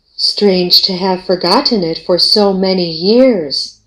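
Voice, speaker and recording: A put-on character voice, female-sounding, at medium pitch and a fairly slow pace. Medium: old radio play. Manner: calm, solemn.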